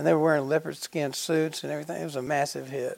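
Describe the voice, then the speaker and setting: A man talks at a fairly quick pace with a Southern US accent. His pitch sits fairly high. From Georgia, US South. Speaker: podcast host, music museum. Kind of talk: interview, casual chat.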